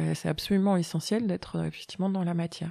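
Moving at a moderate pace, this voice has a dark, mellow tone. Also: woman. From Europe. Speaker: shaman. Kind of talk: podcast interview.

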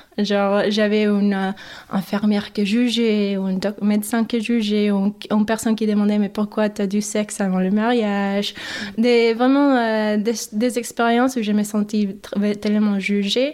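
A woman talks at a fairly high pitch and a fairly slow pace. Her intonation is monotone and flat, and her loudness stays very even. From Mexico, later US Midwest (Michigan, Chicago). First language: English and Spanish (speaking French). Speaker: migrant woman interviewee. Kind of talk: interview. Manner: halting, with repetitions and hesitations.

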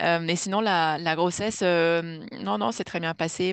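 A woman's fairly low, fairly slow speech with ordinary pitch variation, a dry, close sound with no echo and a quiet background. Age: 30s. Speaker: mother sharing birth story. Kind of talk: testimony. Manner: halting.

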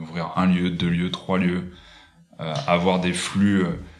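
Amid audible room echo, a man with a very deep, low pitch speaks at a very slow pace. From Paris region, France (Fontainebleau). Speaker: hospitality design entrepreneur. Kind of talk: interview. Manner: halting, many repetitions and fillers.

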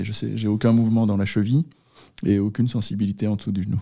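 Medium pitch from a man, dark and mellow in tone, with ordinary pitch variation. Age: 40s. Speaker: former engineer and long-distance cyclist, accident survivor. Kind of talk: personal testimony interview. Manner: hesitant, with frequent repetitions.

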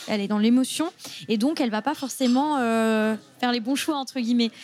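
Ordinary pitch variation at a fairly quick pace. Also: woman. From southern France, Mediterranean coast. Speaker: NGO communications officer. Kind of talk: interview conversation. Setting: café. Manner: halting, with fillers.

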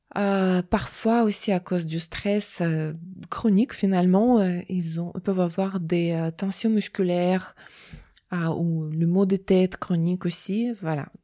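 A very slow woman with a Russian accent, a dark, mellow tone and fairly even intonation, on a very clean recording with a silent background. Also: medium pitch for a woman. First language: Russian (speaking French). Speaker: psychologist. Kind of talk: interview testimony. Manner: halting, many hesitations.

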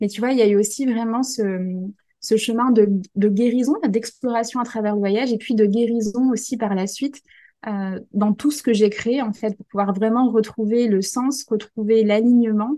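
Her voice is fairly high-pitched, with a dark, mellow tone. The woman keeps her intonation fairly even. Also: moderate pace. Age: 20s. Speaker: life coach and entrepreneur. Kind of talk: casual chat.

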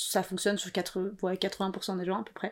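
Recorded very cleanly against a silent background, a woman talks at a medium pitch and a moderate pace. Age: 20s. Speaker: podcast guest, freelancer. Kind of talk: personal testimony interview.

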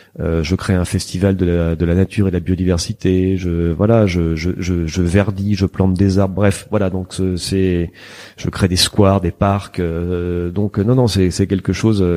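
Very deep and low, the man's voice has a dark, mellow tone. He speaks at a fairly slow pace with monotone, flat intonation. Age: 50s. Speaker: veterinarian and member of parliament. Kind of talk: interview. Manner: halting.

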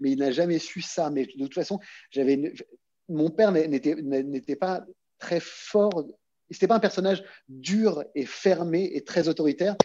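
A man with a high pitch and a dark, mellow tone speaks with ordinary pitch variation and long, frequent pauses. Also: fairly slow pace. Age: 40s. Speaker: actor, former investment banker. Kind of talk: casual interview conversation. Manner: halting, frequent word repetitions.

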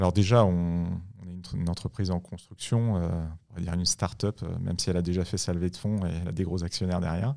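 A man speaks in a very deep, low voice with a dark, mellow tone. His pace is fairly quick, his intonation fairly even, and he hardly pauses. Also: very clean recording, silent background. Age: 40s. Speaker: tech executive. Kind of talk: interview. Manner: halting.

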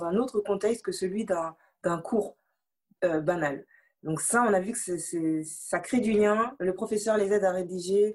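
Speaking at a fairly slow pace, a woman at medium pitch shows ordinary pitch variation. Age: 20s. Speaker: anti-bullying association volunteer. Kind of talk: interview. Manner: halting, many repetitions.

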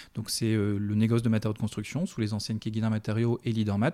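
A man at a medium pitch talks at a fairly quick pace in a dark, mellow tone with monotone, flat intonation, recorded very cleanly with a silent background. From Brittany, France. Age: 30s. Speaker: business executive. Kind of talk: interview. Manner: hesitant, many repetitions.

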